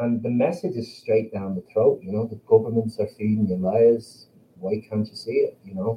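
A man with an Irish accent speaks at a medium pitch and moderate pace, somewhat breathy, with ordinary pitch variation. His loudness swings widely. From Ireland. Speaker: band member, musician. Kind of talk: casual interview chat.

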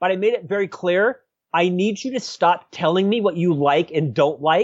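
A man speaks at a moderate pace with an American accent. His voice is high-pitched, and his intonation is lively. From US South, Central Florida. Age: 50s. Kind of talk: interview.

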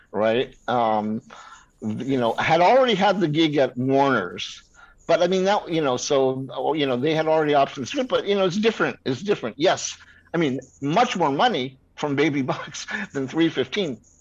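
This is a plain, everyday voice from a man, pitched fairly high. He keeps a moderate pace. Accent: American. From New York. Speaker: screenwriter. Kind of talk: casual interview.

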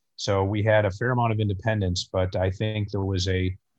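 Somewhat breathy and fairly low, this man's voice has an American accent and monotone, flat intonation. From Chicago northern suburbs. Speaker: orthopedic surgeon. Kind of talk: interview.

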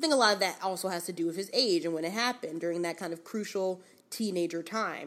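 Someone with an American accent talks at a very fast pace in an animated tone with ordinary pitch variation. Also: woman, medium pitch for a woman, very clean recording, silent background. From New York, South Bronx. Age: 20s. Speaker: podcast co-host. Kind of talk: casual chat.

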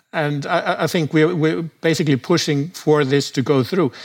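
At a moderate pace, a man with a fairly high pitch uses an ordinary speaking voice. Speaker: browser company founder interviewed about online surveillance. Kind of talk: interview.

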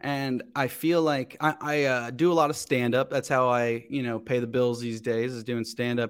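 A man with an American accent and a plain, everyday voice, fairly even intonation, hardly any pauses. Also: medium pitch for a man, moderate pace. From Cincinnati area, Ohio. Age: 30s. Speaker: comedian. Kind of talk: casual chat.

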